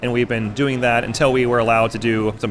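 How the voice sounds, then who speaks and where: Noticeable background noise sits behind a man speaking with an American accent. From Texas. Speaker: restaurant chef. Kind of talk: interview. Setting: live outdoor food event.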